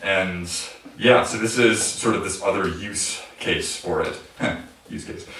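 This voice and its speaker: A fairly low-pitched man with big swings in loudness and long, frequent pauses, plus audible room echo and noticeable background noise. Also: fairly even intonation, fairly slow pace. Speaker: electronic musician. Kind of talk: Q&A after a live performance. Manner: hesitant, many fillers.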